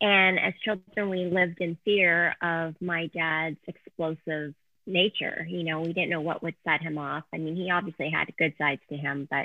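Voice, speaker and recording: A woman has a normal speaking voice. She keeps a moderate pace. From Canada. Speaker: author and speaker. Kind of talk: interview testimony.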